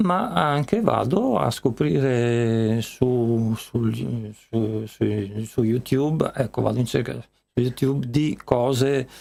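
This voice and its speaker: At a very slow pace with hardly any pauses, a man speaks in a dark, mellow tone at medium pitch, his loudness very even. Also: ordinary pitch variation. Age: 70s. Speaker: musician. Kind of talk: interview. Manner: halting.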